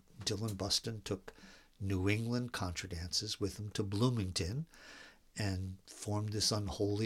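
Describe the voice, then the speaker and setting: A man with an American accent speaks at a fairly low pitch, somewhat breathy. His intonation stays fairly even on a very clean recording with a silent background. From north central Pennsylvania. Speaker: dance caller and dance historian. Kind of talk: casual interview chat. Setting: at his home.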